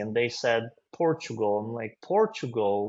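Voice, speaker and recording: Speaking in a Russian accent, a man keeps a moderate pace. His intonation is lively. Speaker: finance consultant. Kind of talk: interview.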